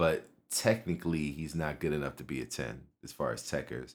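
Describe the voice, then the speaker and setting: A man with a Philadelphia accent speaks with vocal fry. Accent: Philadelphia American English. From North Philadelphia, US. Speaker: music producer and football fan. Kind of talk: casual chat.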